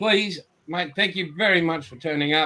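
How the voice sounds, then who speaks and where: A man with an Australian accent, high-pitched for a man, at a moderate pace. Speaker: podcast host. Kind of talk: casual chat.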